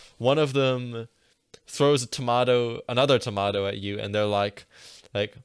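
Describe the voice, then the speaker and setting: A man speaks in a normal speaking voice with an American accent, at a medium pitch. His pace is moderate and his pitch varies in an ordinary way. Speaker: podcast co-host. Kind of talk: casual chat; role-play game narration.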